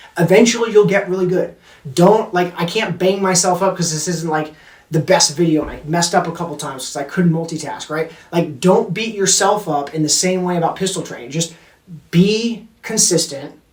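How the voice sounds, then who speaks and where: Noticeable background noise sits behind a man with an American accent. His pitch is high, with ordinary variation. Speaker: firearms instructor, Marine veteran. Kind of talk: tutorial. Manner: fast; casual, filler-heavy.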